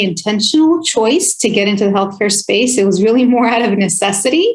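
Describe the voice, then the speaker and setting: In a Spanish accent, a woman speaks at a moderate pace in a fairly high pitch. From California, Oxnard. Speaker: health plan executive. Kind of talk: interview.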